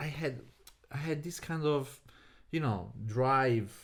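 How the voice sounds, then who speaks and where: A man speaks with an Italian accent. His pitch variation is ordinary. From Italy, Naples. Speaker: podcast guest. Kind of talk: casual chat.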